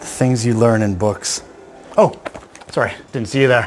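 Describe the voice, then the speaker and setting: A man speaks with a Canadian accent at a moderate pace. Noticeable background noise is present. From Canada. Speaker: whisky blender. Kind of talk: tutorial. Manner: animated.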